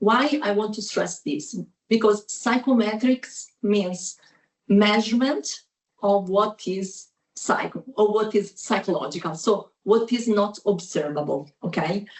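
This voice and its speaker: A woman with an Italian accent, medium pitch, a somewhat breathy quality, ordinary pitch variation and a fairly slow pace. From Italy. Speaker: professor. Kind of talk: academic presentation. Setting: video call.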